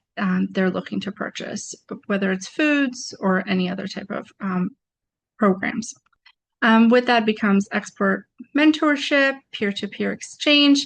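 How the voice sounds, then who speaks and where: Against a quiet background, a woman talks at a fairly slow pace with lively intonation and a somewhat breathy voice. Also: medium pitch for a woman. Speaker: trade promotion presenter. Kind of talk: webinar presentation. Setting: video webinar.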